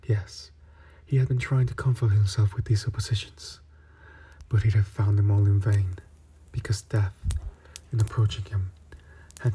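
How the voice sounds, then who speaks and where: Soft-spoken and fairly low-pitched, a man talks with fairly even intonation and very even loudness, taking long, frequent pauses. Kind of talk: ASMR story reading. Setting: close-mic ASMR recording. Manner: soft-spoken, relaxing.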